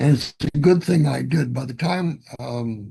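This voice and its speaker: Somewhat breathy, this man has a dark, mellow tone. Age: 70s. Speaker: model railroader presenting a clinic. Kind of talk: virtual clinic presentation. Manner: halting, many repetitions and fillers.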